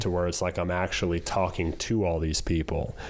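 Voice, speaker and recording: At a fairly quick pace, a man talks in a very deep, low pitch. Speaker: ring announcer. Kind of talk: podcast interview answer. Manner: casual, conversational.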